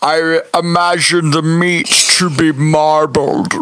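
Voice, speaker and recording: This is a put-on character voice at a middle pitch. The pace is very slow. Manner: menacing, eerie.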